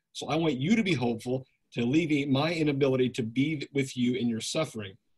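Ordinary pitch variation runs through a somewhat breathy voice. The pace is moderate. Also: man. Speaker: webinar host and moderator. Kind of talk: moderated Q&A. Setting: online webinar.

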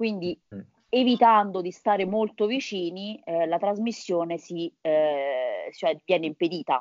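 A woman with a normal speaking voice talks at a fairly slow pace, her medium pitch showing ordinary pitch variation. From Italy, Lazio (Viterbo). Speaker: nutritionist biologist and virologist. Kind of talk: interview.

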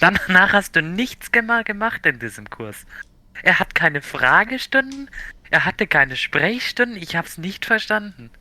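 Speaking at a fairly slow pace, a man with a high pitch, lively intonation and a bright, sharp tone comes through in a dry, close sound with no echo. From Bavaria, Germany. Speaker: podcast co-host. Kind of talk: casual chat.

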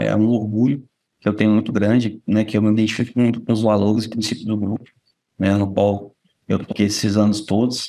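A man speaks very fast in a flat monotone. His voice is fairly low, with a dark, mellow tone. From Brazil, Espírito Santo (Vitória). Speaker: company administrative supervisor. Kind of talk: casual interview about life story.

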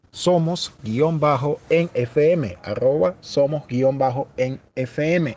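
His voice sits fairly high for a man, and this speaker is male. The rise and fall of his pitch is ordinary. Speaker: podcast host. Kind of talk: casual chat.

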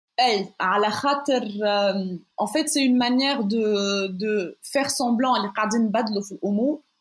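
A woman's fairly high, somewhat breathy voice in a Tunisian accent, fairly slow and very even in loudness. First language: Tunisian Arabic (speaking French). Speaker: feminist researcher. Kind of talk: interview. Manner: halting.

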